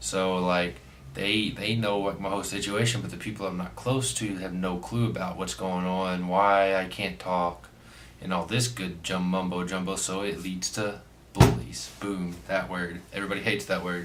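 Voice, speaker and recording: With audible room echo, a man speaks at a moderate pace in a very deep, low voice with ordinary pitch variation. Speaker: vlogger. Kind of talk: casual storytime vlog. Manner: halting, filler-heavy.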